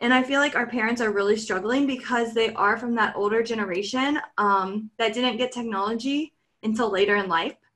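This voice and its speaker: A plain, everyday voice moves at a fairly quick pace with hardly any pauses. Loudness is very even and intonation fairly even. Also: woman, fairly high pitch for a woman. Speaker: teacher and podcast co-host. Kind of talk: casual podcast conversation.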